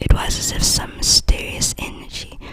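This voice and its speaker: Whispering in a gentle tone, the voice moves at a very slow pace. Background noise is noticeable. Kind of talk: ASMR book reading to help sleep; whispered bedtime reading. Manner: soft, whispered, gentle.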